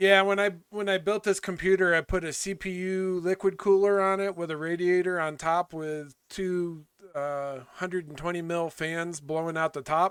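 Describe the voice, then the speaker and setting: A man's loud, high voice at a moderate pace with fairly even intonation and hardly any pauses, on a very clean recording with a silent background. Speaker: gaming streamer. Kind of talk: casual chat. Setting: home office.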